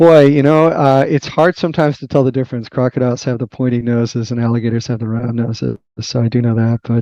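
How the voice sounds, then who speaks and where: A man's medium-pitched voice at a very fast pace, fairly even intonation and hardly any pauses, dry and close with no echo. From Boston, US. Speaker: tech research executive and author. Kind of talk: podcast interview. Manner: hesitant, many fillers.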